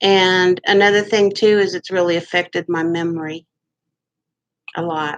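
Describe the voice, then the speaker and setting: A woman with a Midwestern US accent speaks in a medium pitch and flat monotone at a moderate pace, taking long, frequent pauses, in a dry, close sound with no echo. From Kansas, Wichita. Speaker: vlogger. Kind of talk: casual monologue.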